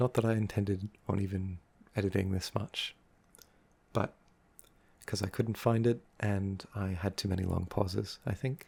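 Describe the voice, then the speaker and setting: Somewhat breathy, a man speaks at a moderate pace in a calm tone. His intonation is fairly even. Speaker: ASMR creator. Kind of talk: unscripted ASMR talk. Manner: soft-spoken, calm.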